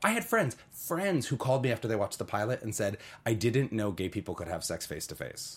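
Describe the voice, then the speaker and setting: Somewhat breathy, a man talks at a fairly quick pace. His intonation is lively. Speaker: actor. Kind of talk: casual interview chat.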